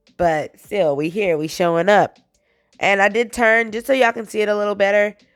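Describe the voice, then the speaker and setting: An energetic woman at a moderate pace with ordinary pitch variation, music in the background. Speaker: fitness instructor. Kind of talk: workout tutorial. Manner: casual, energetic.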